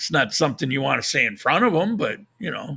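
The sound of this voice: A man puts on a raspy character voice with a fairly high pitch. His pitch swings very widely and he talks at a very fast pace.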